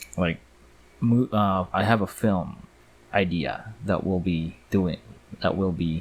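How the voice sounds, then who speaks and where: A man with a very deep, low pitch and a slight Filipino accent, at a very slow pace with long, frequent pauses. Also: ordinary pitch variation. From Philippines. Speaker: 3D artist and YouTuber. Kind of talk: live commentary while working. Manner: casual, hesitant with fillers.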